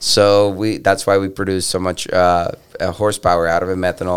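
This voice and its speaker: A man talks at a moderate pace with a very deep, low pitch and fairly even intonation. The recording is very clean, with a silent background. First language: Spanish. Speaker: monster truck driver. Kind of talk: casual chat. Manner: halting.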